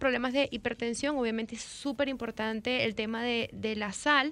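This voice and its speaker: This woman has a high-pitched voice. Her intonation stays monotone and flat. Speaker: nutrition doctor. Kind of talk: expert interview.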